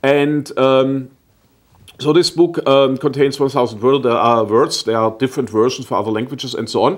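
Speaking with a German accent at a moderate pace, a man keeps a medium pitch and ordinary pitch variation against a quiet background. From southwestern Germany. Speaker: German-American association representative. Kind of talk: TV interview. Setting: TV studio. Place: studio. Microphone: lapel.

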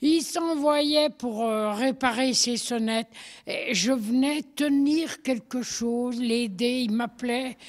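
A high-pitched woman speaking very slowly with lively intonation, on a very clean recording with a silent background. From France, Haute-Savoie (Thônes area). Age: 80s+. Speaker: retired farrier's wife. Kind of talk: casual interview. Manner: halting.

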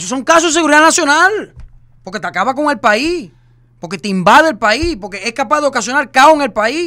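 Against a quiet background, a man with an extremely high pitch uses a raised, projected voice with a bright, sharp tone, swinging very widely in pitch at a fairly quick pace. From Cuba. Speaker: social media personality; podcast host or guest. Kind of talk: casual chat. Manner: animated. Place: studio. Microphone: studio mic.

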